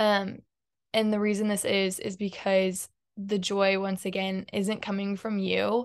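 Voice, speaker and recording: In a quiet setting, a woman talks at a fairly slow pace with a medium pitch and flat, monotone intonation. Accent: American. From Houston, Texas. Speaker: podcast guest, college student and entrepreneur. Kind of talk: casual chat.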